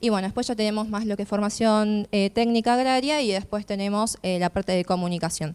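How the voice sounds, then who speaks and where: With an unremarkable speaking voice, a woman talks fairly quickly at a medium pitch, hardly pausing, her intonation fairly even, on a very clean recording with a silent background. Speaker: youth cooperative representative. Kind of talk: panel talk.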